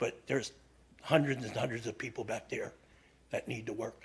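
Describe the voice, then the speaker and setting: This man's voice sits at a medium pitch and is somewhat breathy. He speaks at a moderate pace. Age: 70s. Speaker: resident giving public comment. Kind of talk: public comment at council meeting. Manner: halting.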